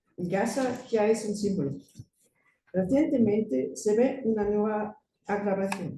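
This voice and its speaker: Speaking fairly slowly with a German accent, a woman has a dark, mellow, somewhat breathy tone at a medium pitch. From Germany. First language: German (speaking Spanish). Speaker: conference speaker. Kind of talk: academic presentation.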